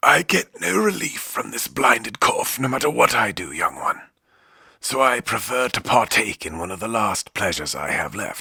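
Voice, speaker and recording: A man does a raspy, put-on character voice at a medium pitch and moderate pace, in a dry, close sound with no echo. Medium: read story.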